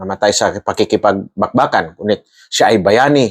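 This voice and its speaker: A man speaks in an ordinary speaking voice at a moderate pace. His medium pitch shows ordinary pitch variation, and the sound is dry and close with no echo. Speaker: army colonel explaining military matters. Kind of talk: explainer monologue. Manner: formal.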